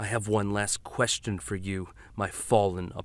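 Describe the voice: This is plain reading aloud. Nothing more is heard.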